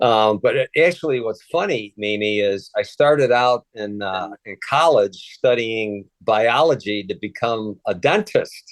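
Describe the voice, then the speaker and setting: Fairly slow speech from a man at medium pitch, ordinary pitch variation, a dry, close sound with no echo and a quiet background. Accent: Chicago. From Chicago, US Midwest. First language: Polish. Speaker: retired federal agent and author. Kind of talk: interview. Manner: halting, many fillers.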